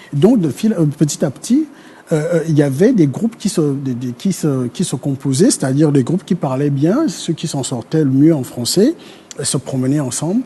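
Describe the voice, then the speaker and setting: Noticeable background noise is present. A man with a fairly high pitch speaks with lively intonation. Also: moderate pace. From Gabon, north (Fang speaker). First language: Fang (speaking French). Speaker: historian. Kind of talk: TV panel discussion. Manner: halting, many hesitations.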